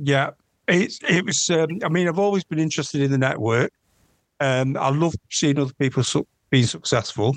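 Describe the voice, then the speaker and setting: A man with a Mancunian accent speaks at a moderate pace and a fairly high pitch, with ordinary pitch variation, very even loudness, and a dry, close sound with no echo. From northern England, Manchester. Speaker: fraud investigator. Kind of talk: interview. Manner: halting, many ums.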